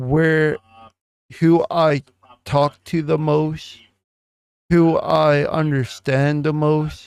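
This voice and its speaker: In a dry, close sound with no echo, a man speaks very slowly at a fairly high pitch, his intonation monotone and flat. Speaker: YouTube reaction commentator. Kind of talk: reaction video monologue. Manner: deliberate, thinks before speaking.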